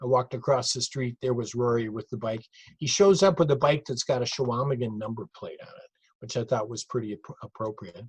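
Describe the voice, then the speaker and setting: With an American accent and a medium pitch, a man speaks at a fairly quick pace, somewhat breathy, with ordinary pitch variation, big swings in loudness, and a dry, close sound with no echo. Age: 60s. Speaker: retired cycling event director. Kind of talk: narrated slide show lecture. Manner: conversational, with fillers and repetitions.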